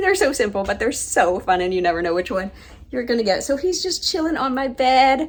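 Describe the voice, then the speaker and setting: Noticeable background noise sits behind the recording. A woman speaks with very wide pitch swings. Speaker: travel vlogger. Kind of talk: casual vlog talk.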